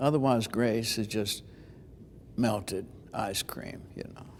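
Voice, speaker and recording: A man talks at a fairly slow pace. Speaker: preacher and homiletics teacher. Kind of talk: interview answer. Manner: conversational, thoughtful.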